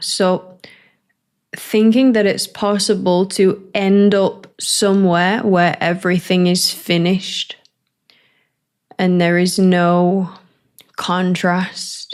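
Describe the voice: Speaking slowly, a woman with a fairly low pitch uses a clear, smooth tone and little pitch movement.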